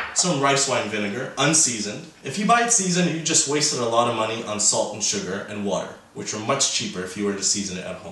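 Over noticeable background noise, a man talks fairly quickly, and the room echo is audible. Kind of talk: cooking tutorial. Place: kitchen.

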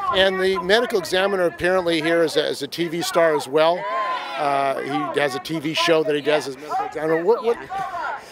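Crowd noise plays in the background as a man talks at a fairly quick pace in a dry sound with no echo. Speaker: video journalist. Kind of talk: street interview. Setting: outdoor rally. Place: street.

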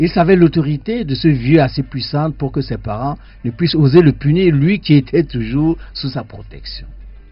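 Faint music plays in the background. A man speaks at a fairly slow pace. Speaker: radio guest. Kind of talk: reading aloud from a book. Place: studio.

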